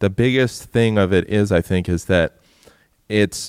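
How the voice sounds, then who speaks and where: A man with a plain, everyday voice, fairly low in pitch, with ordinary pitch variation at a moderate pace, the sound dry and close with no echo on a very clean recording with a silent background. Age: 30s. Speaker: musician in a band. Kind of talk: casual chat. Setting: stage with audience.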